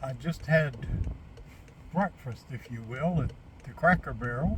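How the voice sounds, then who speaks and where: A man at a fairly slow pace with very wide pitch swings, over noticeable background noise. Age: 70s. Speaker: sailing vlogger. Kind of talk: casual vlog monologue. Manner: hesitant, with many fillers.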